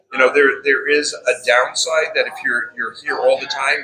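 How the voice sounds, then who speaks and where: Speaking with a New York accent, a man moves along at a fairly quick pace. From New York City (Bronx, Queens). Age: 60s. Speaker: restaurant owner. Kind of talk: casual interview. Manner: repeats words often.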